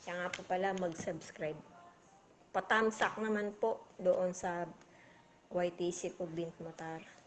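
A woman's very slow, monotone, flat speech with long, frequent pauses over light background noise. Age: 40s. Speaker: vlogger. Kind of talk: casual livestream chat. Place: home room. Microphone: phone near.

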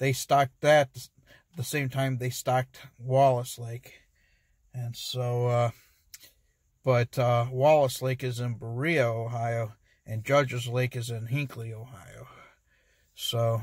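A man speaks very slowly in a somewhat breathy, monotone, flat voice, leaving long, frequent pauses. The sound is dry with no echo, over a quiet background. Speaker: fishing vlogger. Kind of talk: casual vlog chat. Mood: mildly disappointed, relaxed. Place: car. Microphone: phone near.

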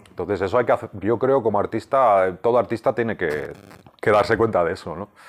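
A man speaks at a medium pitch. He moves at a fairly quick pace with ordinary pitch variation. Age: 50s. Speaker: comic book writer. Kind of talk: interview. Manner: halting, many repeated words. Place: home room. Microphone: lapel.

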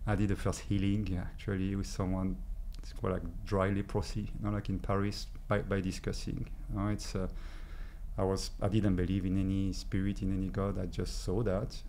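A man with a French accent, light background noise behind him. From France. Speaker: energy healer. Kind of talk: interview. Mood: warm, reflective, smiling. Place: studio. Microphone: studio mic.

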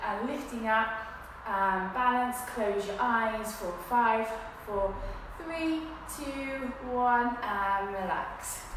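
A woman talks at a very slow pace with ordinary pitch variation. Strong room echo and noticeable background noise surround her voice. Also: fairly high pitch for a woman. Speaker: fitness instructor. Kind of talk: guided exercise class. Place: gym. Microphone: camera far.

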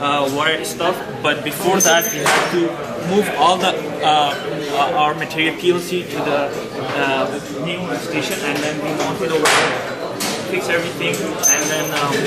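Loud background noise fills the clip as a man talks at a moderate pace with long, frequent pauses. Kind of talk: project presentation. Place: workshop. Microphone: camera far.

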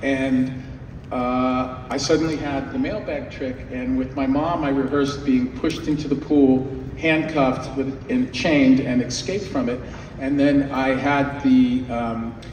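A man's monotone, flat delivery at a fairly slow pace, with light background noise and audible room echo. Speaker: guest. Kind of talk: storytelling anecdote at a fan panel. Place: hall.

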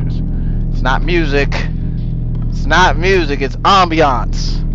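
Background noise is loud while a man talks at a fairly slow pace. The sound is dry, with no echo. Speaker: gamer. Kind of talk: gameplay commentary. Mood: joking, mildly spooked. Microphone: headset.

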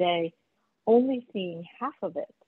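A woman's medium pitch with ordinary pitch variation. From New Jersey. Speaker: club member. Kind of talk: casual chat. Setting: video call. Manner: chatty.

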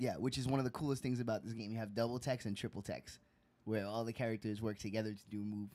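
Fairly even intonation carries a natural reading voice.

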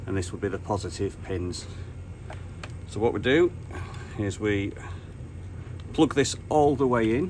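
A man talking at a moderate pace with ordinary pitch variation, over noticeable background noise. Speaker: radio hobbyist. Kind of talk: tutorial.

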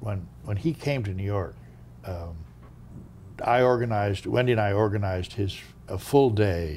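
A man with a fairly low voice and an American accent speaks in a somewhat breathy way over light background noise. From United States. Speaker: former diplomat; interviewee. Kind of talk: interview. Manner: halting. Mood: reflective, storytelling. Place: home room.

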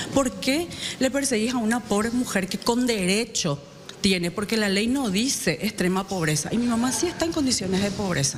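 Over light background noise, a woman with a fairly high pitch speaks at a moderate pace with lively intonation and very even loudness. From Paraguay. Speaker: senator; politician. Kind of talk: press conference. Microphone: handheld.

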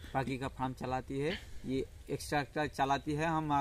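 A man with a medium-pitched voice speaks in a fairly even intonation. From West Bengal, South 24 Parganas. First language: Bengali (speaking Hindi). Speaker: farmer. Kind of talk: casual interview. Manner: halting.

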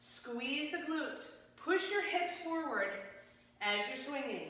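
Her voice raised and projected, a woman speaks at a fairly slow pace with lively intonation and a bright, sharp tone amid strong room echo. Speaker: fitness instructor. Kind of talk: guided exercise class, leading a workout with live cues. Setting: home workout video. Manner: brisk, upbeat and encouraging, firing off short commands and rep countdowns; energetic, coaching in a friendly conversational tone. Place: gym.

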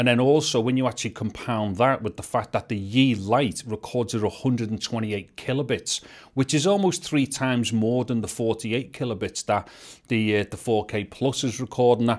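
A man speaks at a moderate pace and medium pitch, with ordinary pitch variation and few pauses, on a very clean recording with a silent background.

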